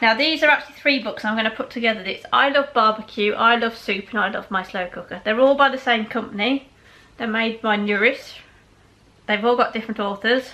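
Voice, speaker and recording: With a West Midlands accent, a woman speaks at a fairly quick pace. Her pitch is fairly high and her intonation fairly even. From West Midlands, England. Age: 30s. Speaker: food vlogger. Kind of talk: casual product review. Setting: indoors with patio doors open. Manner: fast.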